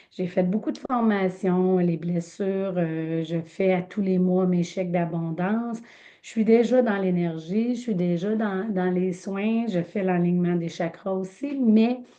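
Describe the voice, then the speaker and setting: A woman with a Quebec accent talks at a very slow pace, her medium pitch showing ordinary variation. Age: 50s. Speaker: medium and energy healer. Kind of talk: casual introduction in online group session. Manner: halting, many fillers.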